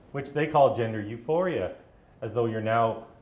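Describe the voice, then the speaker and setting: A man of medium pitch talks at a fairly quick pace. Room echo is audible around him. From British Columbia, Canada. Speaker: activist. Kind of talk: live talk to audience.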